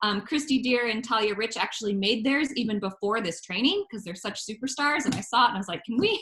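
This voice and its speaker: Over noticeable background noise, a woman with a fairly high voice talks at a very fast pace with hardly any pauses. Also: ordinary pitch variation. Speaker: instructional technology trainer. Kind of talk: webinar training.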